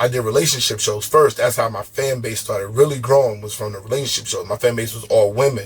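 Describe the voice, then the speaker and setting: Here a man talks at a medium pitch. His voice is somewhat breathy. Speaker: podcast host. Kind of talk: casual chat.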